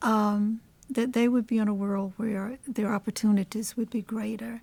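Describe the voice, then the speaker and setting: Speaking at a fairly slow pace, a woman with an American accent has a fairly high pitch and a dark, mellow tone that is somewhat breathy. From Washington, DC. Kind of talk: oral history interview answer.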